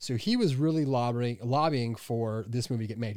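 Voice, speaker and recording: In an unremarkable speaking voice of medium pitch, a man talks fairly quickly with fairly even intonation on a very clean recording with a silent background. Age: 30s. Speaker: podcast co-host, movie reviewer. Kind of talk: casual chat. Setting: studio in Hollywood.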